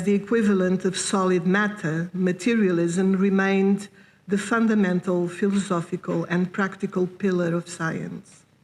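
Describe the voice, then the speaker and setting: This woman speaks with a non-native accent. Her pitch is medium and her pace moderate. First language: not English. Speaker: philosopher. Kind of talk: lecture reading. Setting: conference hall with audience. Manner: formal.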